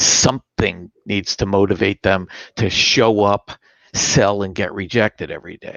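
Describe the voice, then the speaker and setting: A man with an unremarkable speaking voice talks at a fairly slow pace and a fairly low pitch, his intonation fairly even but his loudness swinging widely. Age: 60s. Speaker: sales performance expert. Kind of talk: interview.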